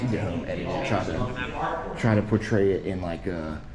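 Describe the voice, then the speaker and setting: A man with a fairly low voice speaks in an animated tone over background music, with audible room echo. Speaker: camera auditor, YouTuber. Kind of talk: street confrontation, casual argument with police. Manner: loud; fast, animated.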